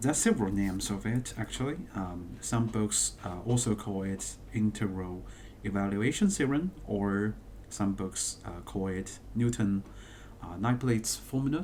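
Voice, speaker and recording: With a non-native accent, a man talks at a fairly low pitch and fairly slow pace. His pitch variation is ordinary. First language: not English. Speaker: math teacher. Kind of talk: tutorial. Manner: halting, many fillers.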